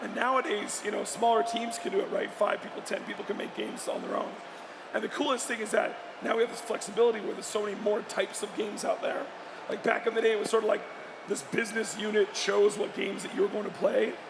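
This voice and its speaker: With audible room echo and noticeable background noise, a man talks at a very fast pace and an extremely high pitch, with ordinary pitch variation. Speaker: video game industry executive. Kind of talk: panel discussion. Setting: stage at a live event.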